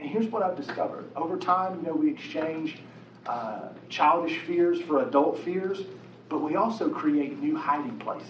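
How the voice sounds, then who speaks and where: A man's high-pitched voice with lively intonation at a moderate pace, with noticeable background noise and audible room echo. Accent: American. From West Virginia. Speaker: pastor. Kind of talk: sermon. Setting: church auditorium with audience. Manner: animated.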